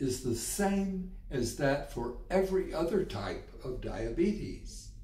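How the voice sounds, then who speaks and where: Audible room echo surrounds a man who talks at a very slow pace. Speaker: health educator. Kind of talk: educational explainer. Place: home room.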